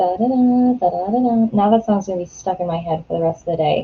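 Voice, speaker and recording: A woman talks at a medium pitch and moderate pace. Her voice is somewhat breathy. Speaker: writer livestreaming writing sprints. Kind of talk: casual livestream chat. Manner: animated.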